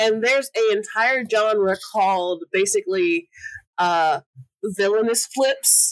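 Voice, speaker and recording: At a very slow pace, a woman with a fairly high pitch keeps her loudness very even, in a dry, close sound with no echo. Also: ordinary pitch variation. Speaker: podcast cast member, insurance agent. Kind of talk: casual chat.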